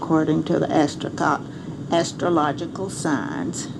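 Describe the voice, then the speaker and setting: Speaking at a fairly slow pace with an American accent, a woman has a very deep, low pitch, and the recording carries audible room echo and noticeable background noise. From Arkansas. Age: 70s. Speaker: grandmother recording memoirs. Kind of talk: personal memoir monologue. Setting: home recording device.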